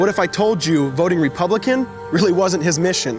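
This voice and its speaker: Fairly quick and lively in intonation, a man with a fairly high pitch speaks over music in the background. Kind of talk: spoken word poetry. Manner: rhythmic, rhyming delivery.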